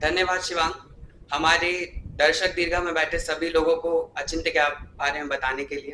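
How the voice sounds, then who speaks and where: A high-pitched man in a monotone, flat intonation, with audible room echo. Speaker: student, chief magazine editor. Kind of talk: formal speech at event. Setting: stage with audience. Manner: formal.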